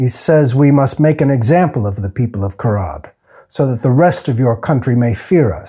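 The voice reads without strain. It stays unforced from start to finish.

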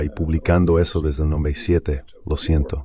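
A man speaks with a very deep, low pitch and fairly even intonation. Noticeable background noise is present. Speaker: foreign policy expert. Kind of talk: interview. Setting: video call.

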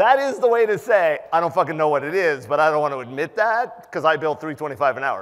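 Against a quiet background, a man with a fairly high pitch speaks at a fairly quick pace in an animated tone, his pitch swinging very widely. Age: 50s. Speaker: penetration tester and conference speaker; conference speaker. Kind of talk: conference talk. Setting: stage with audience. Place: hall.

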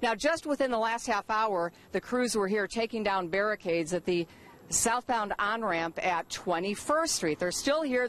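A woman talks at a moderate pace. Her voice has ordinary pitch variation. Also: dry sound with no echo. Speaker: TV field reporter. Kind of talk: live news report. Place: street. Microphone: handheld.

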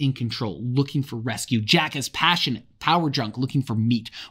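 A natural voice reading aloud

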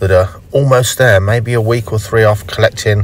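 A man speaks at a moderate pace. His pitch varies in an ordinary way, and the sound is dry with no echo. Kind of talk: tutorial. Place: car.

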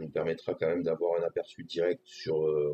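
In a room with audible echo and light background noise, a man talks at a moderate pace. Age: 40s. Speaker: gaming streamer. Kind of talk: tutorial. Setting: live stream. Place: home room.

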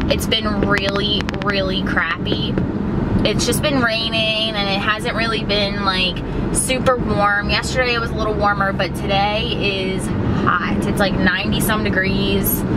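Against loud background noise, a woman talks at a fairly slow pace. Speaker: vlogger. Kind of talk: casual vlog chat. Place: car. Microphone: phone near.

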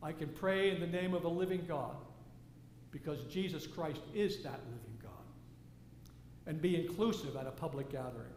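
In audible room echo, a man with a fairly high, slightly mellow voice speaks at a moderate pace with ordinary pitch variation.

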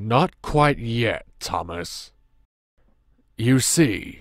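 Recorded very cleanly against a silent background, a man puts on a character voice at a medium pitch. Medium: audio drama. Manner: brusque, crude.

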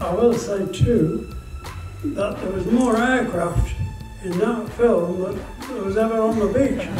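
A man with a high voice speaks at a fairly slow pace, with audible room echo and clear music in the background. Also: ordinary pitch variation. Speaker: war veteran. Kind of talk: speech to an audience. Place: hall.

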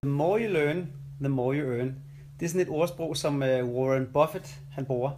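Over light background noise, a man talks at a fairly high pitch with fairly even intonation. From Denmark, Kirke Værløse (north Zealand); Denmark. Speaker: coach and vlogger; coach, vlogger. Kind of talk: casual vlog monologue.

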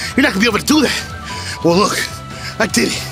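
A man talks at a moderate speed. Music plays clearly behind him. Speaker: vlogger. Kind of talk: casual vlog chat. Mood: defiant, boastful. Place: street. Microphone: phone near.

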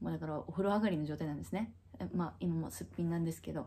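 A woman's somewhat breathy voice has a dark, mellow tone and ordinary pitch variation. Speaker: vlogger. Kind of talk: casual vlog chat. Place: home room. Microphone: phone near.

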